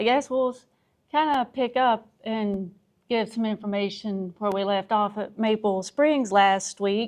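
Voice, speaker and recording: A woman speaks with an Appalachian accent at a fairly slow pace. Her pitch is fairly high with ordinary variation, over a quiet background. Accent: Southern US (Appalachian). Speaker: podcast co-host. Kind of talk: casual chat. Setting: outdoor pavilion with wooden roof.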